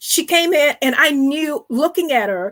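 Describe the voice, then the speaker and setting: This woman has a high-pitched voice. Her intonation is lively. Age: 60s. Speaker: financial advisor and author. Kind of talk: interview.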